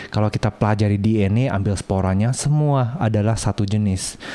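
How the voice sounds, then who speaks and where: The speaker has a non-native accent, heard against noticeable background noise. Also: man. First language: not Indonesian (speaking Indonesian). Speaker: plant video creator. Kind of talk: video tour narration. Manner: halting; animated.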